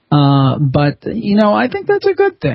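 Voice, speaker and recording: A man is speaking. His voice is somewhat breathy. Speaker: podcaster and author. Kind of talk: interview answer.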